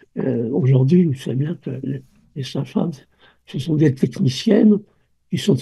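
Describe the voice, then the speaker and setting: Somewhat breathy and dark, mellow in tone, a man with a fairly high pitch speaks at a fairly slow pace with lively intonation and long, frequent pauses. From France. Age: 80s+. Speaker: obstetrician and birth researcher. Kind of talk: interview. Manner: halting, with many repetitions.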